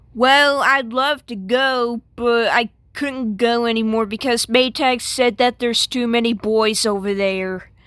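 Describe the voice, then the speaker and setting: A female-sounding cartoonish character voice, fairly high in pitch, moves at a fairly slow pace with hardly any pauses. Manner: sassy, exasperated.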